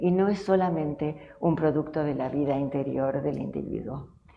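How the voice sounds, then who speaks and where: The soft-spoken voice shows ordinary pitch variation, with audible room echo and noticeable background noise. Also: woman. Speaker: family therapist and professor. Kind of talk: tribute speech.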